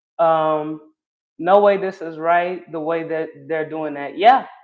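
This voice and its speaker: A woman speaks with a Southern accent, her fairly low pitch moving with ordinary variation. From North Carolina (Charlotte). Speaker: live streamer / political commentator. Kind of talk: casual livestream commentary reading chat. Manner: animated, conversational.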